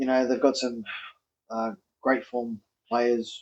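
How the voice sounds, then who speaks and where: Moderately paced speech from a man in an Australian accent. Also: dry, close sound with no echo. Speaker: rugby league podcast host. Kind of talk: casual sports chat. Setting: outdoors. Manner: halting.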